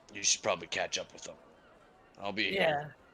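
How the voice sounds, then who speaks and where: Putting on a character voice, a man talks fairly quickly in a raspy, fairly high pitch, his loudness swinging widely. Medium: actual play. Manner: blunt, dry.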